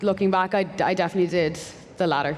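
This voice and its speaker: A woman's fairly low voice with a Dublin accent, monotone and flat in intonation. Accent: Irish (Dublin). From Ireland (Dublin). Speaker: software engineer. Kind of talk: panel discussion.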